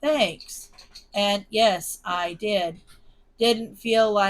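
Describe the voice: Plain reading aloud, with ordinary pitch variation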